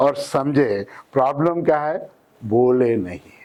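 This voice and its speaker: Lively intonation from a man, pitched fairly high. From Hyderabad, South India. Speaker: English trainer. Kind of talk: tutorial. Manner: animated.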